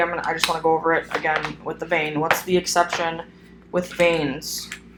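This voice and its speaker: A woman speaks at a very fast pace over noticeable background noise. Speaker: phlebotomy instructor. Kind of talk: recorded lecture. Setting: solo recorded video. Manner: hesitant, many fillers.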